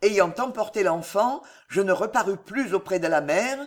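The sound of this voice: Lively intonation in an unforced reading voice.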